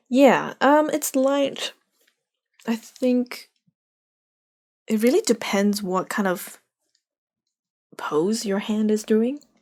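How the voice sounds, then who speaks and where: The speaker goes at a very slow pace with long, frequent pauses and ordinary pitch variation, in a very clean recording with a silent background. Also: woman, fairly high pitch for a woman. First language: not English. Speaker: art streamer teaching drawing. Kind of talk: live drawing tutorial. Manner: casual, halting with fillers.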